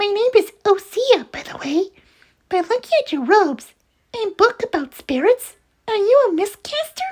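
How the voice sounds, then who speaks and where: A squeaky, put-on character voice carries the whole clip. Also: female-sounding voice, extremely high pitch for a woman, moderate pace. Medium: read story. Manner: cute, playful, curious.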